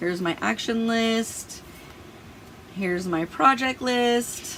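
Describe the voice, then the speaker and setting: A woman's fairly high voice at a very slow pace, with ordinary pitch variation and noticeable background noise. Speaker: planner and productivity YouTuber. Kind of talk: tutorial. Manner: casual, chatty with fillers.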